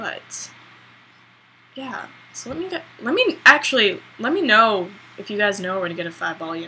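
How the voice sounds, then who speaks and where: Long, frequent pauses break up a woman's speech, pitched fairly high. Her pitch swings very widely and her loudness varies a lot. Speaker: beauty vlogger. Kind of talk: hair tutorial vlog. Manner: slow; casual, hesitant with many ums.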